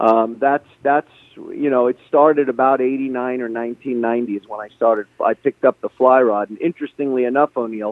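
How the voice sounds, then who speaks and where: Here a man speaks at medium pitch and a fairly quick pace, with hardly any pauses. His loudness swings widely while his intonation stays fairly even. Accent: New York. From Brooklyn, New York City. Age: 60s. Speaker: fishing guide and author. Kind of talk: interview.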